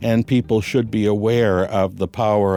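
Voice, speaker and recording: Music plays in the background as a man speaks at a fairly low pitch. His intonation stays fairly even. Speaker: music professor. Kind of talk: interview answer.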